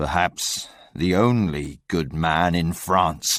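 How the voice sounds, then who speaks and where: Using a put-on character voice with a very deep, low pitch, a man speaks at a very slow pace on a very clean recording with a silent background. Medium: read story.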